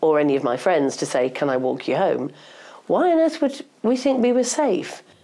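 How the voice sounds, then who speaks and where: A woman with a dark, mellow tone and vocal fry speaks at a medium pitch. Her pace is moderate, and her pitch swings very widely. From northeast England. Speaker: journalist and feminist campaigner. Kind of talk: interview conversation. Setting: podcast interview.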